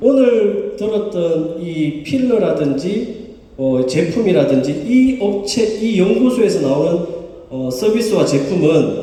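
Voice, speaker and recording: With a Gyeongsang accent, a man with a high pitch speaks at a very slow pace with very wide pitch swings, amid noticeable background noise and audible room echo. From Gyeongsang region, Korea. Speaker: company chairman presenting to members. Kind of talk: business presentation.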